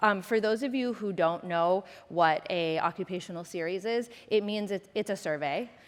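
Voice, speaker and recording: A woman with an American accent talks with hardly any pauses and ordinary pitch variation. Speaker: government senior advisor and nonprofit founder; conference presenter. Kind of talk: conference talk. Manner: fast. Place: stage.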